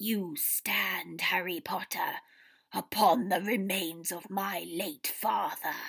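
A female-sounding, raspy put-on character voice of middle pitch speaks at a very slow pace with a hissing quality. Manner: hissing, sadistic.

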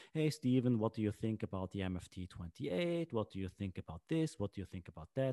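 A man speaks in a Swiss German accent, his fairly low voice dark and mellow, with lively intonation. The sound is dry and close with no echo, in a very clean recording with a silent background. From Switzerland. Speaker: podcast host. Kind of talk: casual chat.

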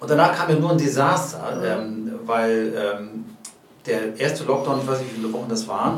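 A man speaks with lively intonation. The room echo is audible, and background noise is noticeable. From Hamburg. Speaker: comedian. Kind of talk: casual interview.

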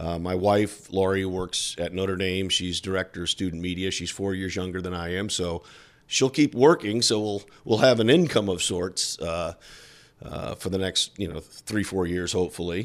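This man's very deep, low voice carries an American accent and ordinary pitch variation. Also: moderate pace. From South Bend, Indiana. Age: 60s. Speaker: television sports broadcaster. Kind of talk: interview.

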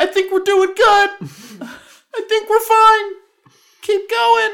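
A put-on character voice, extremely high in pitch and very slow in pace. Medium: actual play. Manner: bewildered, falsely confident.

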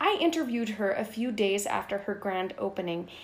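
A woman is speaking here. Her pace is moderate and her pitch variation ordinary. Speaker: community podcast host. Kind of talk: narrated community podcast. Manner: loud.

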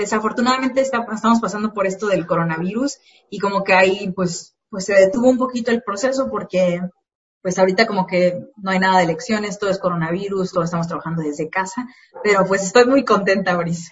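A woman talks at a very fast pace in a somewhat breathy voice. Her pitch is medium, with ordinary variation. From Mexico, Morelia, Michoacán. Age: 20s. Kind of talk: casual interview.

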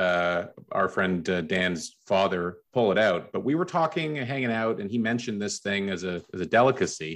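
A man talks fairly quickly in an unremarkable speaking voice, fairly low in pitch. His intonation is lively against a quiet background. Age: 40s. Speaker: podcast co-host. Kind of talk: casual chat.

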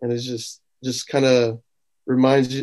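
A man speaks at a fairly slow pace in a slightly mellow tone, with little pitch movement. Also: medium pitch for a man.

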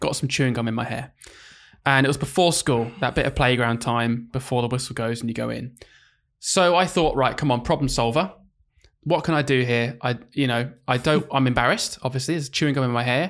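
Using a normal speaking voice, a man talks at a fairly quick pace and medium pitch with ordinary pitch variation, in a very clean recording with a silent background. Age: 30s. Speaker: primary school teacher and podcast host. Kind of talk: casual chat.

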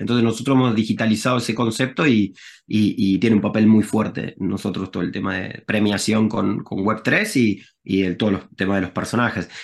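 This man speaks with a Rioplatense accent at a fairly quick pace. His pitch is fairly low, with ordinary pitch variation. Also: hardly any pauses. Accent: Argentine Rioplatense Spanish. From Argentina, Rosario. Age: 40s. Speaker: tech entrepreneur, game company CEO. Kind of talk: casual interview.

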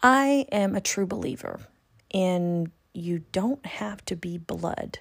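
A woman with an ordinary speaking voice talks at a fairly slow pace, medium in pitch and lively in intonation. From California. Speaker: spiritual reader and podcast host. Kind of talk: monologue.

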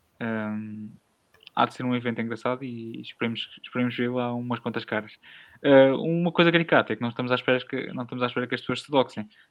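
Very fast male speech in a European Portuguese accent, medium in pitch, with fairly even intonation and big swings in loudness. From rural Portugal. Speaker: podcast host. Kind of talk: casual chat.

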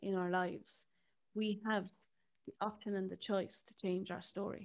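A woman with an Irish accent talks at a fairly quick pace in a medium pitch, her intonation flat and monotone. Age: 30s. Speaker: podcast host and therapist. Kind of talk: casual interview chat.

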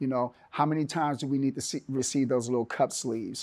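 Here a man speaks in an unremarkable speaking voice at medium pitch with fairly even intonation. The recording is very clean, with a silent background. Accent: American. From Northern California (Oakland). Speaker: entrepreneur, Marine veteran. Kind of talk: interview.

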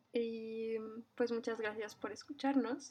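A woman's fairly high pitch carries her words along at a fairly slow pace. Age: 20s. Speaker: podcast host. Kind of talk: casual chat.

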